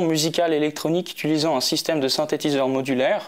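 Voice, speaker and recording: With fairly even intonation, a man talks at a moderate pace in a fairly high pitch. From Switzerland, Geneva. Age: 20s. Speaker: electronic musician. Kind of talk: interview. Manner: halting, many fillers.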